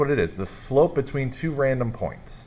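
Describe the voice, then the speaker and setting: Noticeable background noise behind a man's fairly high voice, moving at a moderate pace. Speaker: math teacher. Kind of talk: tutorial. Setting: at school.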